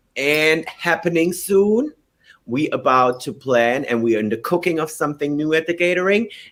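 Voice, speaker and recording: Spoken with a German accent, the delivery moves at a moderate pace with lively intonation. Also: man, fairly high pitch for a man. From Germany. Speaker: drag queen. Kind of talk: casual chat.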